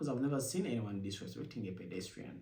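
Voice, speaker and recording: A man talks in a fairly low pitch with a dark, mellow tone. His voice is somewhat breathy, and the room echo is audible. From Uganda. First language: Luganda. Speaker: vlogger, immigrant and former international student. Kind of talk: casual talk to camera. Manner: halting, with self-corrections.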